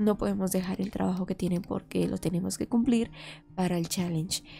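Her tone is dark and mellow, with vocal fry running through it. The recording is very clean and the background silent.

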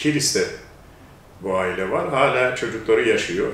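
With light background noise and audible room echo, a man speaks with ordinary pitch variation. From Turkey, Bergama area (Izmir region); Turkey. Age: 70s. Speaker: interviewee, descendant of Albanian immigrants; interviewee. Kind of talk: interview. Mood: calm, reflective. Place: home room.

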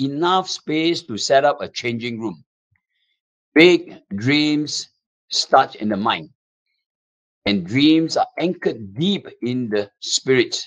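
A man talks very slowly, with a quiet background behind him. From Singapore. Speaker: motivational speaker. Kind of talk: webinar presentation. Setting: webinar. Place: office. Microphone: webcam.

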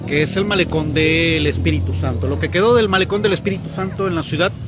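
Very fast speech from a man, dry with no echo, over noticeable background noise. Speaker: local news reporter. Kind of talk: live on-location commentary. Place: waterside. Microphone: phone near.

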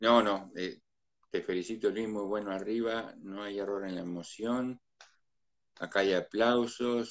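Speaking at a fairly slow pace, a man with a fairly low pitch keeps his intonation fairly even over a quiet background. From Uruguay, Mercedes (Soriano); Uruguay. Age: 50s. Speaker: live-stream host. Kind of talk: casual live-stream interview. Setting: video call live stream. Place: home room. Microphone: phone near.

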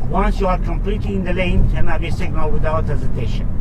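A man's voice over loud background noise. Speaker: driving instructor. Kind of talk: tutorial. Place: car.

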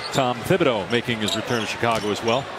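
Very fast, energetic delivery in a dry sound with no echo, over loud background noise. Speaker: play-by-play basketball commentator. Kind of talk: live sports commentary. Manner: fast, fluent, energetic play-by-play patter. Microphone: headset.

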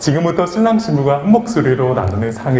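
A man talks at a very fast pace with a fairly high pitch. His pitch swings very widely, and there is noticeable background noise. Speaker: wedding MC. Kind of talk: live wedding ceremony hosting. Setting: wedding hall PA system.

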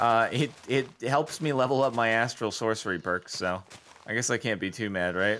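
Pitch varies in an ordinary way through the plain reading aloud.

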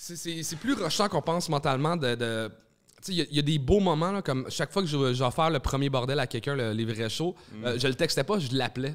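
A man with a Quebec accent, fairly high in pitch with ordinary pitch variation, at a moderate pace against a quiet background. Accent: Québécois French. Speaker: stand-up comedian and comedy club owner; stand-up comedian. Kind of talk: casual chat. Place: studio. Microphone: studio mic.

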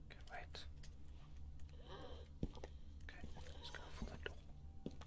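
A man is whispering. He is quiet. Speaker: gamer streamer. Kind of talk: gameplay commentary. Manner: hushed, tense whisper. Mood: tense, nervous. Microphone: headset.

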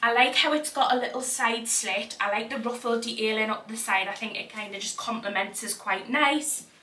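A woman with a Geordie accent, fairly high in pitch and bright, sharp in tone, at a moderate pace with ordinary pitch variation and audible room echo

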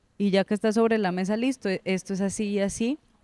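With a dark, mellow tone and ordinary pitch variation, a woman speaks at a moderate pace over a quiet background, the sound dry with no echo. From Colombia, Santander (Girón); Santander, Colombia. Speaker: writer; interviewee. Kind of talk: interview. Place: studio. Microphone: handheld.

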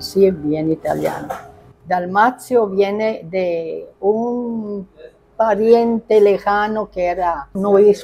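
Very slowly and at a medium pitch, a woman talks with ordinary pitch variation over light background noise. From Northern Italy (Bergamo). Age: 80s+. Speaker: pizzeria owner, Italian immigrant pioneer. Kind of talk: interview answer. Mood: reminiscing, warm.

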